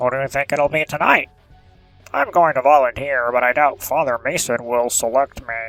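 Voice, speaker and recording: Faint music plays in the background as a man performs a put-on character voice. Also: medium pitch for a man, moderate pace. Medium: read story. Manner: fervent.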